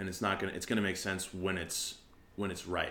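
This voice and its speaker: A man's fairly low-pitched voice comes through with audible room echo. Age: 20s. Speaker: podcast host and opera singer. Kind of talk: casual chat.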